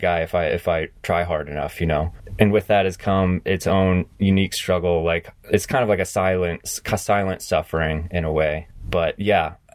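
This man's pitch is very deep and low, with an American accent. His pace is moderate and his intonation fairly even. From US South and New England. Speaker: professional rock climber. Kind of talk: interview, personal testimony. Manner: halting, many repeated words.

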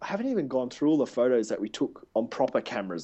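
We hear a man talking. His accent is Australian. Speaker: podcast co-host. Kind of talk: casual chat. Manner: fast talker; animated.

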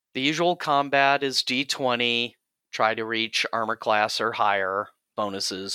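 A man talks at a fairly slow pace and medium pitch, with a bright, sharp tone and ordinary pitch variation. The sound is dry and close with no echo, in a very clean recording over a silent background. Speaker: podcast host, game master. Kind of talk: casual chat.

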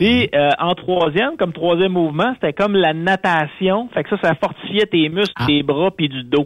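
This man talks at a moderate pace with hardly any pauses. His pitch is high for a man. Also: ordinary pitch variation. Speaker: radio contributor. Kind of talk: casual chat. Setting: phone call.

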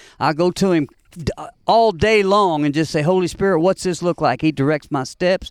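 A man with an American accent speaks in a high pitch at a moderate pace, with an animated tone, ordinary pitch variation and very even loudness. The recording is very clean with a silent background, dry and close with no echo. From US Midwest (Evansville, Indiana). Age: 60s. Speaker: former musician, preacher in recovery. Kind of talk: testimony.

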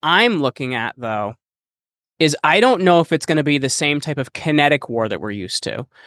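A plain, everyday voice from a man at a fairly high pitch, with lively intonation and a moderate pace, in a dry, close sound with no echo on a very clean recording with a silent background. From United States. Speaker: podcast host and entrepreneur. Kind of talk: interview.

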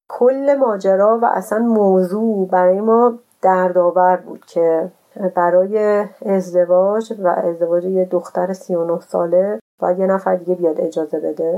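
At a fairly slow pace, a woman speaks with a dark, mellow tone. Her pitch is medium, with ordinary pitch variation. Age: 30s. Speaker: traveler and cyclist. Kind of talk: interview storytelling.

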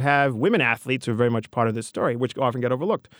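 A man with a New York accent at a medium pitch, dry and close with no echo, on a very clean recording with a silent background. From New York City, the Bronx. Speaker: history professor. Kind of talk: interview.

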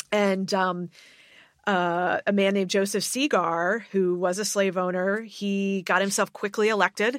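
A woman with an American accent speaks in a plain, everyday voice at a fairly slow pace, with fairly even intonation and very even loudness, in a very clean recording with a silent background. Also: medium pitch for a woman. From US Mid-Atlantic, Maryland suburb of Washington DC. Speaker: history professor. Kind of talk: interview.

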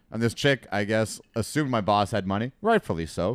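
In a normal speaking voice, the speaker moves at a fairly quick pace with lively intonation, on a very clean recording with a silent background. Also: man. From Alberta. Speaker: comedian. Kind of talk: casual chat.

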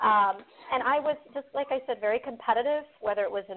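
In an American accent, a woman with a plain, everyday voice speaks at a moderate pace, using a fairly high pitch and ordinary pitch variation. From Fort Wayne, Indiana. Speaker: franchise owner.

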